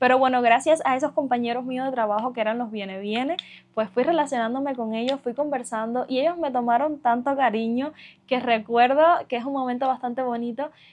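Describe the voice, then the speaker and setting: With a Cuban accent, a woman talks at a fairly quick pace in a high voice with fairly even intonation. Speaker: vlogger. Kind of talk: casual vlog monologue. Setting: sitting on her bed at home.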